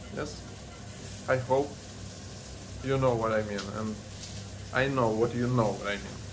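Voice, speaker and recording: Man with a Russian accent, fairly slow pace and long, frequent pauses, over noticeable background noise. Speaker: family vlogger. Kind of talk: casual chat. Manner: animated. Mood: warm, grateful, playful. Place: kitchen. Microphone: phone near.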